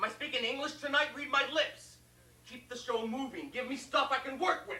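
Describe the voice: A man does a put-on character voice at an extremely high pitch, with a bright, sharp tone. He talks at a fairly quick pace with ordinary pitch variation, and room echo is audible.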